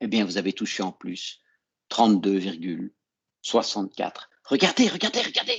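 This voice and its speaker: The recording sounds dry and close, with no echo. A man talks at a fairly slow pace. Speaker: accounting teacher. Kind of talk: online lecture.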